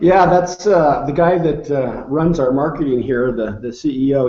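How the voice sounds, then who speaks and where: Fairly high-pitched man at a moderate pace, with ordinary pitch variation, over noticeable background noise. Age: 60s. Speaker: nutrition researcher. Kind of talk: interview. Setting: video call.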